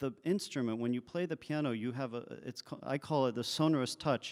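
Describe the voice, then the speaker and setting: Recorded very cleanly against a silent background, a man talks at a moderate pace with a medium pitch and ordinary pitch variation. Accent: French. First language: French. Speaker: composer. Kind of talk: onstage interview. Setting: stage with audience.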